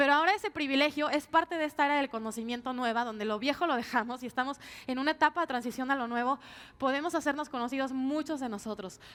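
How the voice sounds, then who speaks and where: A woman talks at a very fast pace and a high pitch, with ordinary pitch variation. The recording is very clean, with a silent background. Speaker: pollster and political consultant. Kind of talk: conference talk. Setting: stage with audience.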